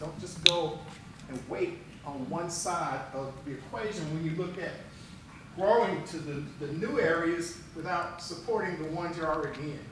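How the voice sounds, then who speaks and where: A man speaks in a high voice at a moderate pace, with ordinary pitch variation. There is noticeable background noise and audible room echo. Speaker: strategic planning consultant. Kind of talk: presentation at board meeting. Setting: board meeting room with microphones.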